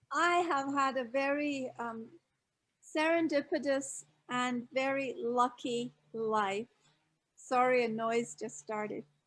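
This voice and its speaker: The speaker has an American accent and ordinary pitch variation. Delivery is at a very slow pace. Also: woman, high pitch for a woman. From Scotland. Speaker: author and expat advisor. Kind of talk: live online interview.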